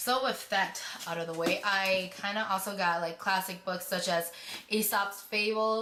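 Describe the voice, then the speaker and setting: Speaking at a moderate pace with a medium pitch and fairly even intonation, a woman is heard over noticeable background noise, with audible room echo. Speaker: beauty vlogger. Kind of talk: casual vlog.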